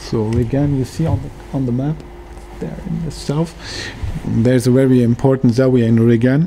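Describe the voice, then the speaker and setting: A man at medium pitch and moderate pace, with ordinary pitch variation, long and frequent pauses, and noticeable background noise. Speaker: academic researcher. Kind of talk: lecture. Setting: workshop with audience. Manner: halting, searching for words.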